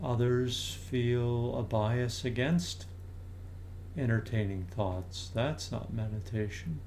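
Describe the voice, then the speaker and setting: A man with a medium-pitched, somewhat breathy voice speaks in a calm, gentle tone at a very slow pace, with ordinary pitch variation. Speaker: meditation teacher. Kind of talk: guided meditation. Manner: slow, soft-spoken, calm and unhurried with long pauses; gentle, inviting, soothing tone.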